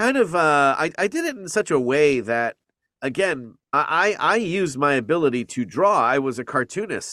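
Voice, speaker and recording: In a very clean recording with a silent background and a dry, close sound with no echo, a man with a fairly high, bright, sharp voice talks at a moderate pace with very wide pitch swings. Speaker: voice actor. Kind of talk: interview answer.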